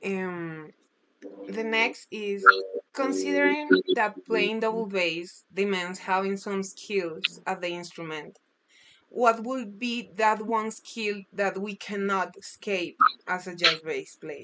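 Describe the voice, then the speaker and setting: Speaking very slowly at a medium pitch with ordinary pitch variation, a woman talks in a Spanish accent. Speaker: music student. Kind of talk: interview. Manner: halting.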